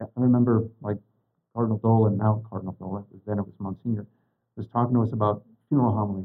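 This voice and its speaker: A man with an American accent talks at a very fast pace in a dark, mellow tone and a fairly low pitch, his intonation monotone and flat. His loudness swings widely, and long, frequent pauses break up his speech. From Eastern Washington. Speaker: priest. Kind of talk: interview.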